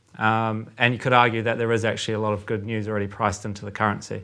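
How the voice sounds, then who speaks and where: A man with a New Zealand accent speaks in a bright, sharp tone with monotone, flat intonation. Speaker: currency trader. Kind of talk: casual chat. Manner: halting, many fillers.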